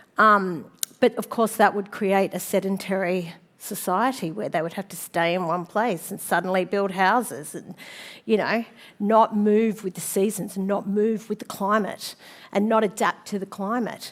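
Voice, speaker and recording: Fairly even intonation marks this woman's medium-pitched voice at a moderate pace. Her loudness swings widely in a very clean recording with a silent background. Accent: Australian. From Sydney, Australia. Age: 50s. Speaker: designer and speaker. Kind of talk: conference talk. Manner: casual, with many fillers.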